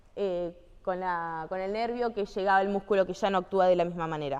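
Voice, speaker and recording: Here a woman is speaking. Her pitch is medium. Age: 20s. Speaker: physical activity instructor. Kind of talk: training lecture. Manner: conversational, frequent checking questions.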